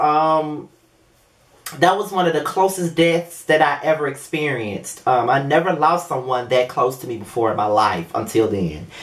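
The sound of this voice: The speech moves at a moderate pace with lively intonation. There is audible echo from the room.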